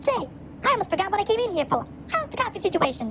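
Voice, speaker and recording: A woman rattles along at a very fast pace in a squeaky, put-on character voice with an extremely high pitch. Her loudness stays very even over clear background noise. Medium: short film. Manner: wry, brisk.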